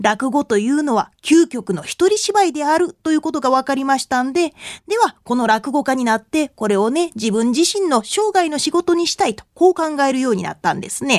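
Speaking with a Kansai accent at a moderate pace, a woman with a high pitch makes very wide pitch swings, recorded dry and close with no echo on a very clean track with a silent background. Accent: Kansai Japanese. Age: 30s. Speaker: rakugo storyteller and Buddhist nun. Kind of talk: radio lecture talk.

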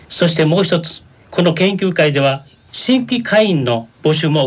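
A man with a fairly high pitch and lively intonation talks over noticeable background noise. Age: 60s. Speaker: senior college student reporter. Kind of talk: explanation on radio. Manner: formal.

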